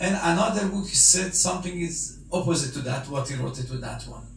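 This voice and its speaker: A man with a Persian accent speaks at a high pitch, with ordinary pitch variation. Room echo is audible, and background noise is noticeable. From Iran. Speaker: Iranian cleric or diplomat speaking at a memorial gathering. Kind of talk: speech at a condolence meeting. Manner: halting.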